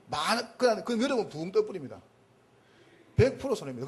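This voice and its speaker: A man's pitch swings very widely as noticeable noise carries on behind him. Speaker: pastor. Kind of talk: sermon-style lecture. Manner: emphatic.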